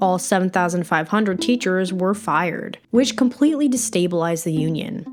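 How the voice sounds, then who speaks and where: With music in the background, a woman at medium pitch speaks at a moderate pace with lively intonation. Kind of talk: documentary-style narration.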